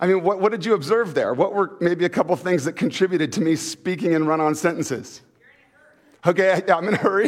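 A man speaks at a very fast pace in an animated tone, his high voice moving with ordinary pitch variation. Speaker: pastor. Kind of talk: sermon. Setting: church.

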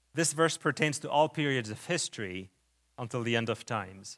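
On a very clean recording with a silent background, a man with a Lebanese accent speaks at medium pitch and a moderate pace with ordinary pitch variation. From Lebanon. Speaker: preacher. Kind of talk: sermon. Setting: church.

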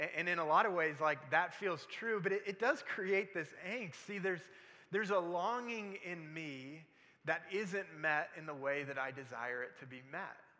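Audible room echo surrounds a man speaking at a moderate pace. His high voice has a bright, sharp tone and lively intonation. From military family, moved around. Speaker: pastor. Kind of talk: sermon. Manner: halting, repeats words.

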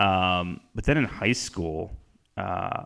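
Very deep, low pitch from a man with an American accent, very clean recording, silent background. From Northeast Ohio. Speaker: campus minister. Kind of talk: casual chat and interview.

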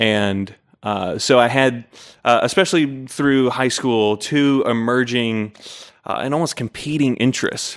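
In an American accent, an unremarkable speaking voice moves at a fairly slow pace with ordinary pitch variation on a very clean recording with a silent background. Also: man, medium pitch for a man. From Utah. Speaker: Bible scholar and editor. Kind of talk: interview.

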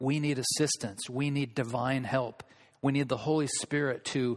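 In a very clean recording with a silent background, a man with an American accent and an unremarkable speaking voice talks at a fairly slow pace with medium pitch and fairly even intonation. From Olympia, Washington, US. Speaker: preacher. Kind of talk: sermon; fervent prayer. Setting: church. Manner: earnest, pleading.

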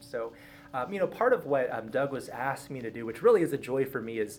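This man speaks at a fairly quick pace in a fairly high voice. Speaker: church pastor speaking to a class. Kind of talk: casual, warm. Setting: church classroom. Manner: fast talker.

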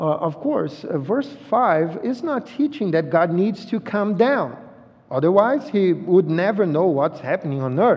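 A man with a Brazilian accent and a high pitch speaks at a fairly slow pace, his voice swinging very widely in pitch. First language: Portuguese. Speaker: visiting pastor. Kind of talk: sermon. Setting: church. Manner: halting, repeats words.

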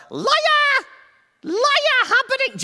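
This is a put-on character voice that sounds female. It is shrill and pitched extremely high. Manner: shouting, accusing.

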